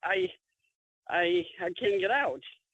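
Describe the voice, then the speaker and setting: A woman with lively intonation. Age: 60s. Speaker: client. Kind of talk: testimony. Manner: halting.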